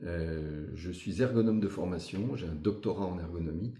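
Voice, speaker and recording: Somewhat breathy, a man speaks with a very deep, low pitch, a dark, mellow tone and ordinary pitch variation. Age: 60s. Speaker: local election candidate. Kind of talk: interview. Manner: hesitant with frequent fillers.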